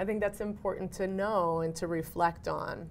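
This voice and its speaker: A woman with a plain, everyday voice and an American accent speaks at a moderate pace and medium pitch. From Cambridge, Massachusetts. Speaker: actor and educator. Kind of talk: interview answer.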